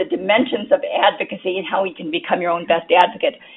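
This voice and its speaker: A woman talks at a very fast pace in a medium pitch. There is noticeable background noise. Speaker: cancer survivorship consultant. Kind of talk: lecture.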